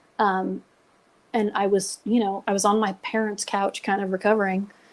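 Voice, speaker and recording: A woman with a normal speaking voice talks at a moderate pace in a medium pitch, on a very clean recording with a silent background. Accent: American. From Nevada. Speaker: retired coast guard aircrew, crash survivor. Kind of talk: podcast interview storytelling.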